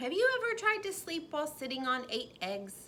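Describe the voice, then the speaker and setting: A woman's squeaky, high put-on character voice with very wide pitch swings over clear background noise. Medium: read story. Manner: repeats words, stutters playfully.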